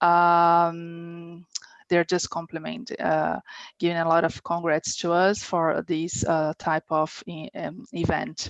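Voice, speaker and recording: Speaking very slowly with a Portuguese accent, a woman keeps her fairly low voice flat and monotone. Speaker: webinar moderator. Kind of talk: webinar Q&A.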